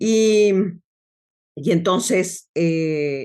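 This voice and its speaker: The woman has an unremarkable speaking voice at medium pitch with ordinary pitch variation. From Mexico City. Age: 60s. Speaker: logotherapist. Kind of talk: interview.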